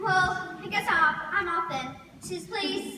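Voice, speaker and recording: A put-on character voice with an extremely high pitch talks at a fairly slow pace over clear background noise and a clear echo. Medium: stage play. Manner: fussy, snippy.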